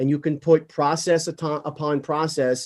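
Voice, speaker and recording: Speaking at a moderate pace, a man uses a plain, everyday voice pitched fairly high. The sound is dry and close with no echo, over a quiet background. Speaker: podcast host, real estate CEO. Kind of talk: podcast interview.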